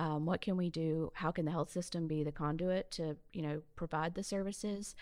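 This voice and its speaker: The speech comes in a Southern US accent with monotone, flat intonation. The recording is very clean, with a silent background. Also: woman. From Mobile, Alabama. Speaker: health system CEO. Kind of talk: casual chat.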